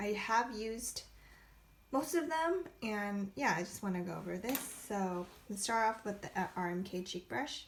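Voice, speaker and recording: A somewhat breathy woman at a fairly slow pace. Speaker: makeup brush reviewer. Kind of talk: casual product review to camera. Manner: casual, hesitant, many fillers.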